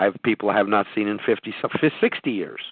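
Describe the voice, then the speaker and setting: A man talks at a moderate pace with ordinary pitch variation. He has an ordinary speaking voice. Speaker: podcast host. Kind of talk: live call-in business talk show. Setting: phone conference call.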